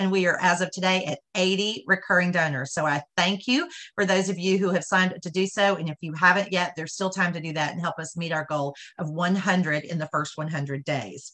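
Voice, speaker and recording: A woman with a fairly low pitch and an unremarkable speaking voice talks at a fairly quick pace with fairly even intonation over a quiet background. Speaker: charity event host. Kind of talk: announcements and introduction. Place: home room. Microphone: video call.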